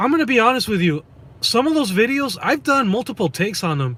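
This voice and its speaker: A man's raised, projected, high voice at a moderate pace, with very wide pitch swings. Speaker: rideshare driver and YouTuber. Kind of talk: casual live-stream chat. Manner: halting, many fillers and repeats.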